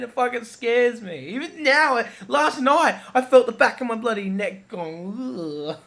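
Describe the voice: Speaking slowly, a man has lively intonation and a fairly bright tone.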